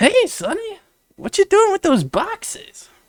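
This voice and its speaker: A put-on character voice is used here. It moves along at a fairly slow pace. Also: man, extremely high pitch for a man. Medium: read story. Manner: folksy.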